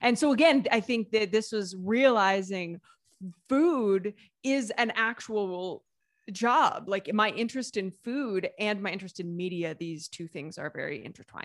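An ordinary speaking voice, a woman with an American accent at a fairly high pitch, fairly slow, with lively intonation and big swings in loudness, on a very clean recording with a silent background. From US Midwest, Southeast Ohio. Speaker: food writer and YouTuber. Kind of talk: interview.

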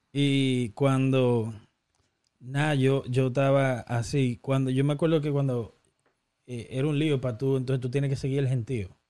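Speaking at a fairly slow pace, a man uses a medium pitch and a dark, mellow tone with monotone, flat intonation. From Dominican Republic (Baní, countryside). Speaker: podcast host. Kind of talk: casual chat.

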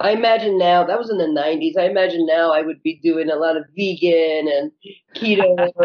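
Here a woman speaks at a moderate pace. Her pitch is fairly low, with ordinary variation. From California, Mexican-American family. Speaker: chef and activist. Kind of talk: casual interview. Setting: podcast.

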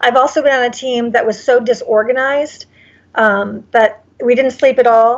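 Her intonation monotone and flat, a woman talks at a high pitch. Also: moderate pace. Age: 40s. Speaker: actress. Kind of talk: casual interview. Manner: halting, many fillers.

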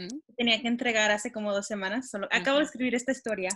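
The woman's fairly high voice has a bright, sharp tone and ordinary pitch variation. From Texas. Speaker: podcast co-host and student. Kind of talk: interview.

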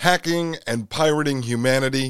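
Speaking fairly slowly, a man keeps a medium pitch that varies in an ordinary way. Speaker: podcast host. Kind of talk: political commentary.

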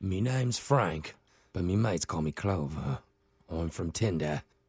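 A man's put-on character voice in a British accent, very deep and low, gruff, with lively intonation at a moderate pace

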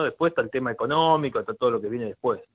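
This is a man talking. He speaks with a Rioplatense accent. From Argentina, Buenos Aires province. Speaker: former footballer and commentator. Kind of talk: casual interview.

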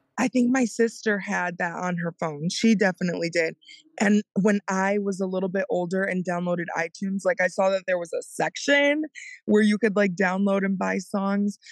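Delivered at a moderate pace with ordinary pitch variation, a normal speaking voice comes through with a dry, close sound and no echo. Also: woman, medium pitch for a woman. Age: 20s. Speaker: podcast co-host. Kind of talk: casual chat.

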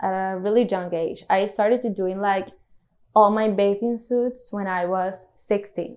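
At a fairly slow pace, this speaker talks with a Spanish accent and fairly even intonation. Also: woman, medium pitch for a woman. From Colombia, Cartagena. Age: 30s. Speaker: swimwear designer. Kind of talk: interview.

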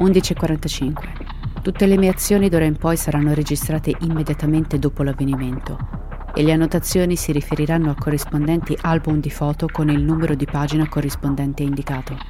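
Noticeable background noise sits behind a woman with a very deep, low pitch, who speaks at a fairly quick pace with fairly even intonation. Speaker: podcast narrator.

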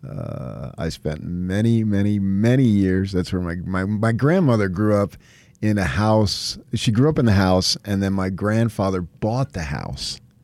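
This man has an unremarkable speaking voice with an American accent, pitched fairly low. He talks at a fairly slow pace with ordinary pitch variation. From New Jersey (Morris County). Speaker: sports radio host. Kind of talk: casual chat.

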